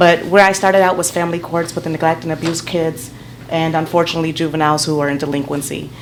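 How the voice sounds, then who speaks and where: A woman talks at a very fast pace in a monotone, flat intonation. The room echo is audible, and background noise is noticeable. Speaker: public defender and judicial candidate. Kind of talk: public comment at council meeting. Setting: city council meeting. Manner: loud.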